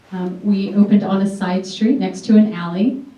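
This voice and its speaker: A woman with a medium-pitched voice speaks in fairly even intonation, with audible echo from the room. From US, Greek immigrant family. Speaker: political candidate and restaurant owner. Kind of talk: debate opening statement. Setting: library debate with audience.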